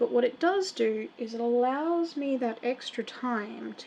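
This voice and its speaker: This woman has a soft-spoken voice with a dark, mellow tone and fairly high pitch. She speaks fairly slowly with an Australian accent. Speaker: miniature painter streamer. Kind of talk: live stream tutorial while painting. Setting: live stream. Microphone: audio too quiet.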